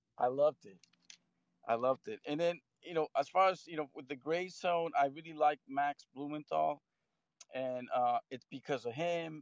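With an ordinary speaking voice, a man talks at a moderate pace in a fairly high pitch with ordinary pitch variation and big swings in loudness, the sound dry and close with no echo. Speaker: caller. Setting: phone call.

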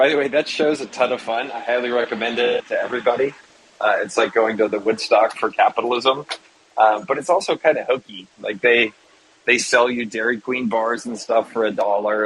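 A man talks at a fairly quick pace with medium pitch and ordinary pitch variation. He has a normal speaking voice. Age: 40s. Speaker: entrepreneur and investor. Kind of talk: interview.

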